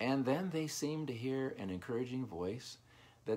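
An unforced reading voice with lively intonation carries the words along.

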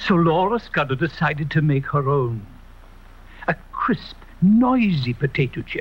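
The delivery is fairly slow, with long, frequent pauses. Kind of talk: TV commercial read.

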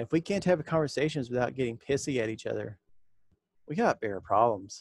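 Talking at a fairly quick pace, a man with a fairly high pitch and lively intonation is heard against a quiet background in a dry sound with no echo. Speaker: YouTuber talking about Freemasonry; fraternal organization commentator. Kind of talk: solo video monologue. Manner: direct and straightforward. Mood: blunt, serious. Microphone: headset.

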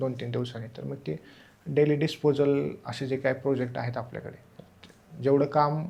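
A somewhat breathy male voice with a dark, mellow tone and big swings in loudness. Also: medium pitch for a man. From Maharashtra, Solapur district (Mohol taluka). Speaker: civil service exam topper, deputy collector. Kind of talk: interview.

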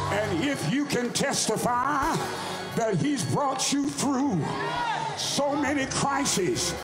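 Loud background noise sits under a voice speaking at a very slow pace. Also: man. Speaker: pastor. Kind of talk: preaching, closing a sermon with a whooping finish. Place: church. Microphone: handheld.

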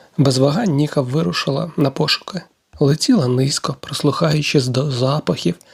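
A natural reading voice with fairly even intonation against a quiet background

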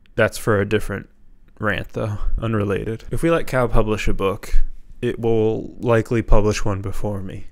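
Fairly low in pitch, a man talks with fairly even intonation. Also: moderate pace, quiet background. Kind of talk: deadpan comedic rant. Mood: deadpan, mock-serious. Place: home room. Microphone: handheld.

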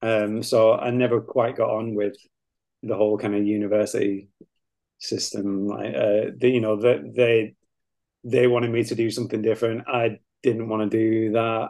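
A man with a Lancashire accent at a moderate pace, monotone and flat in intonation, with long, frequent pauses. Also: medium pitch for a man. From northern England, Lancashire near Manchester. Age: 30s. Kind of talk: casual chat. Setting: video call.

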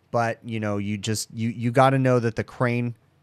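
A plain, everyday voice from a man, fairly low in pitch, at a moderate pace with ordinary pitch variation, in a dry sound with no echo over a quiet background. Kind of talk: tutorial. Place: home room. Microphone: studio mic.

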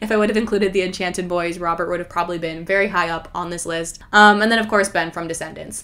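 Talking at a very fast pace, a woman speaks with ordinary pitch variation. Noticeable background noise runs under her voice. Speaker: YouTuber. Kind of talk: casual monologue video. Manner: talkative, animated.

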